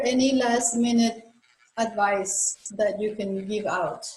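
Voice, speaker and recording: A woman talks at a very slow pace in a fairly high pitch with ordinary pitch variation. There is audible room echo. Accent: Spanish. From Colombia. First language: Spanish. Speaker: chiropractor. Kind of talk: interview.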